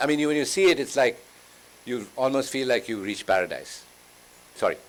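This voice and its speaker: An unremarkable speaking voice belongs to this man at a medium pitch. He talks at a fairly quick pace. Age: 60s. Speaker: travel writer. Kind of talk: panel conversation.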